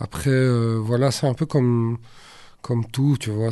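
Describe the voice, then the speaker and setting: Against a quiet background, a man of medium pitch speaks in a dark, mellow tone with monotone, flat intonation. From Brussels, Belgium (Saint-Josse). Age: 40s. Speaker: rapper. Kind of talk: casual interview.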